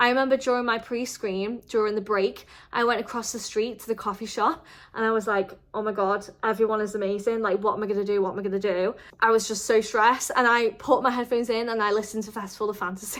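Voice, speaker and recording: A woman speaks in a Merseyside accent, her pitch fairly high. Her tone is animated and her pace very fast. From northern England, the Wirral near Liverpool. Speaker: vlogger. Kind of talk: casual advice vlog. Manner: chatty.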